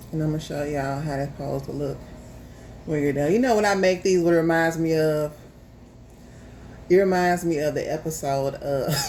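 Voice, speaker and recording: A woman with an American accent speaks at a fairly quick pace, her very deep, low pitch varying in an ordinary way. Long, frequent pauses break her speech, and room echo is audible. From US South, Memphis, Tennessee. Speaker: home cook, YouTuber. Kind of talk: casual chat; cooking tutorial. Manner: casual, chatty.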